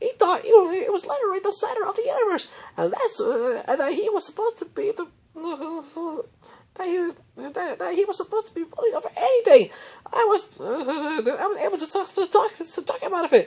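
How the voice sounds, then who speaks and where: A put-on character voice at an extremely high pitch, with very wide pitch swings and a fairly quick pace. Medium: read story.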